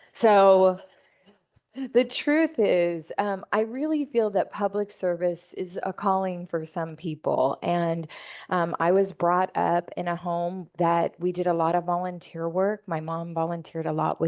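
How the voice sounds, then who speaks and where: With an American accent, a woman speaks at a fairly low pitch and with fairly even intonation. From Santa Rosa, California. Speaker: city council member. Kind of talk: public talk. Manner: loud.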